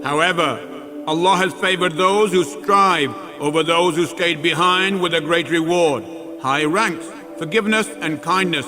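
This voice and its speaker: Over noticeable background noise, a man talks at a moderate pace in a high pitch with ordinary pitch variation. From Pakistan-born, British. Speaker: actor. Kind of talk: religious scripture reading.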